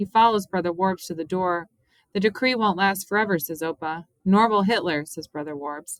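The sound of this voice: The background is quiet. The speaker uses an unforced reading voice, and the pitch varies in an ordinary way.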